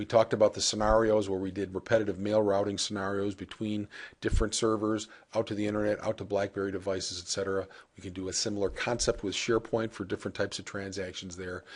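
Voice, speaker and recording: The speech comes at a very fast pace with monotone, flat intonation. The background is quiet. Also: man. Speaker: software product demonstrator. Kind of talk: software demo tutorial. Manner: casual with frequent filler uh.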